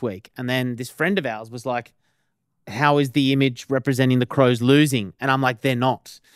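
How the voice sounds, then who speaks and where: This man has an Australian accent and a medium pitch, speaking at a moderate pace. The sound is dry and close, with no echo. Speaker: podcast co-host. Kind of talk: casual podcast conversation. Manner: conversational, explanatory.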